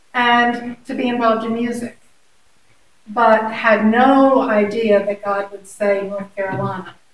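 A woman speaks at a fairly high pitch with monotone, flat intonation and a fairly slow pace. Room echo is audible around her. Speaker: teacher. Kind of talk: interview. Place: meeting room. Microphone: camera far.

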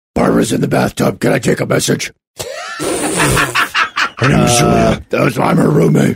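A man puts on a raspy character voice at a very deep, low pitch. He speaks at a moderate pace.

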